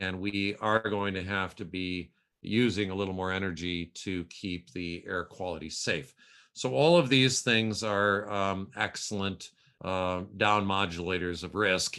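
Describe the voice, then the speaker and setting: The tone is bright and sharp, with fairly even intonation. Speech comes at a fairly slow pace. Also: man, very deep, low pitch for a man, very clean recording, silent background. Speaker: pediatrician, epidemiologist and public health school dean. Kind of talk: expert interview answer.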